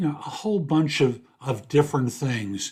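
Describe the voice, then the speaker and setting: A man speaks at a fairly slow pace in a fairly high, somewhat breathy voice with lively intonation. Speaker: career coach and podcast host. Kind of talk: podcast monologue. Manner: casual.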